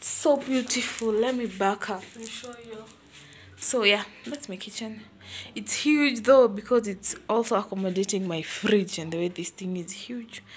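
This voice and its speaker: The pace is moderate and the pitch varies in an ordinary way. Loudness swings widely. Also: woman. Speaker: vlogger. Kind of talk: casual vlog chat. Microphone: phone near.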